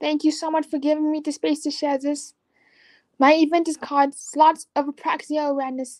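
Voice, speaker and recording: A woman's high-pitched voice with monotone, flat intonation. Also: fairly quick pace, dry, close sound with no echo. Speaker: slot channel creator. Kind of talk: live stream interview. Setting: live video stream. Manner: halting, effortful speech from apraxia.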